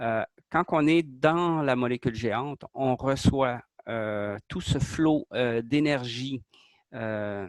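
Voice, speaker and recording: A man with a Quebec accent at a very slow pace, on a very clean recording with a silent background and a dry, close sound with no echo. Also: medium pitch for a man, ordinary pitch variation. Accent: Québécois French. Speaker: artist presenting his creation. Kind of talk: interview explanation. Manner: hesitant, many fillers.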